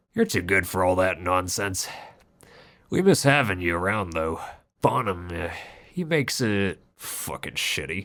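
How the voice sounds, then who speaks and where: In a put-on character voice, a man growls out raspy, very deep, low tones with long, frequent pauses. The recording is very clean with a silent background. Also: moderate pace, ordinary pitch variation. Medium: read story. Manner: jovial, casual, folksy.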